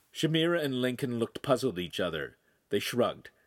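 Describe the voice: The speaker is doing plain reading aloud with ordinary pitch variation. The background is quiet.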